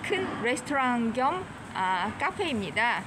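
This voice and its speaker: A woman speaks at a high pitch, her voice swinging very widely up and down. Noticeable background noise sits behind her. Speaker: vlogger tour guide. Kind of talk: casual walking tour commentary. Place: street. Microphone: phone near.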